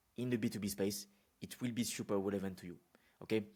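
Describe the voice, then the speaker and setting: A man's fairly low pitch and fairly even intonation, with a French accent. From France. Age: 20s. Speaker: business consultant. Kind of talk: unscripted talk to camera. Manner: casual, with fillers and repetitions.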